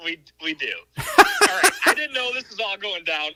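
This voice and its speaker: Raising and projecting his voice, a man speaks at a moderate pace. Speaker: caller. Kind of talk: casual chat. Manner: slurred.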